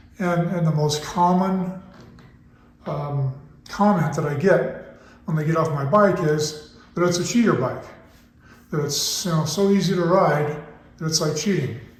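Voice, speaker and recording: In a room with audible echo, a man with a high pitch speaks at a fairly slow pace with fairly even intonation and long, frequent pauses. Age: 60s. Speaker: motorcycle suspension expert. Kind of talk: tutorial. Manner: casual, hesitant with fillers.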